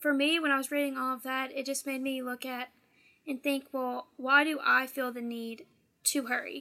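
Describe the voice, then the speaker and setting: A woman uses a raised, projected voice, high-pitched and bright, sharp in tone, at a moderate pace with monotone, flat intonation. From Louisiana. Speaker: college student. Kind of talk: casual discussion.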